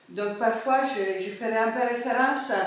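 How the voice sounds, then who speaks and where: A woman's fairly high voice at a very slow pace, with audible room echo and noticeable background noise. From Cyprus. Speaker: sociologist. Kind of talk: public talk. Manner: hesitant, many fillers.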